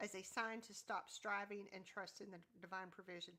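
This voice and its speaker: Loud and bright with a sharp tone, a woman with a Southern US accent speaks at a moderate pace in a medium pitch with fairly even intonation. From US South. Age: 50s. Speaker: YouTube content creator. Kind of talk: casual chat. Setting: livestream.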